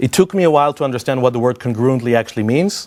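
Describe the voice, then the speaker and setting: On a very clean recording with a silent background, a man talks at a medium pitch. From Israel. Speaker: software consultant and conference speaker. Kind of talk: conference talk. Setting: stage with audience. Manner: conversational, with filler hesitations.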